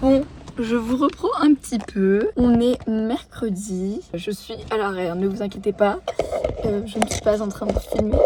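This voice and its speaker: The speech moves at a fairly slow pace with ordinary pitch variation, over noticeable background noise. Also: woman. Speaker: vlogger. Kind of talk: vlog diary. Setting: in a car.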